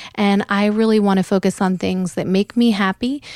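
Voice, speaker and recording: An American accent from a woman at medium pitch, dark and mellow in tone, dry and close with no echo, very cleanly recorded over a silent background. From US Pacific Northwest, Oregon. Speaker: podcast host and lifestyle blogger. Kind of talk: casual chat. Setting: studio.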